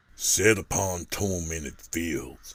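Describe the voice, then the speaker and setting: A man puts on a raspy character voice and speaks at a very slow pace. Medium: read story.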